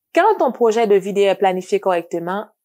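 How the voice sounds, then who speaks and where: This very clean recording with a silent background has a woman speaking at a medium pitch with a non-native accent. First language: not French (speaking French). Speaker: educational video trainer for teachers. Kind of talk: scripted tutorial.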